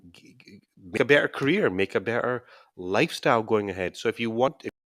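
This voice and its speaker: In a Scottish accent, a man speaks at medium pitch with ordinary pitch variation, the recording very clean with a silent background and a dry, close sound free of echo. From Scotland. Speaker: YouTuber and scrum master coach. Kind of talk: live stream Q&A. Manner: casual, with hesitations and repetitions.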